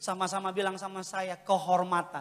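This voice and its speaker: This man's voice is high in pitch. He moves at a fairly quick pace. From Indonesia. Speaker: preacher. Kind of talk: sermon. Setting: church. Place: church. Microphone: handheld.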